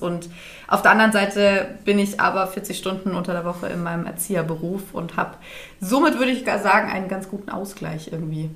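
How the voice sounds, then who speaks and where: A woman speaks at a fairly quick pace in a medium pitch, with ordinary pitch variation. Noticeable background noise and audible room echo come through. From Bavaria, Dachau. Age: 20s. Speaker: podcast host, childcare educator. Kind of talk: casual chat. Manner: animated.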